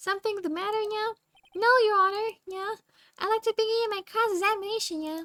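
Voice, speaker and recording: A woman's squeaky, put-on character voice at an extremely high pitch, fairly quick in pace, with fairly even intonation. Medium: game stream. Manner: formal, measured.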